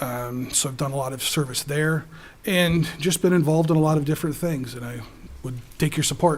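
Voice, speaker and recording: Somewhat breathy delivery with big swings in loudness and a fairly quick pace. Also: man, fairly high pitch for a man, fairly even intonation. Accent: American. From Wisconsin (Dodgeville). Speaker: school board candidate. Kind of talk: candidate forum statement.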